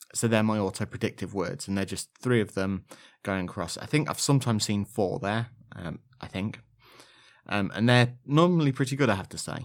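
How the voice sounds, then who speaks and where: In a slight Leicestershire accent, a man with fairly low pitch talks at a fairly quick pace with lively intonation and big swings in loudness, on a very clean recording with a silent background. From Leicestershire, England. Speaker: podcast host, blind Android user. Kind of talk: podcast monologue, scripted-sounding episode talk. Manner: informal, friendly, sometimes hesitant.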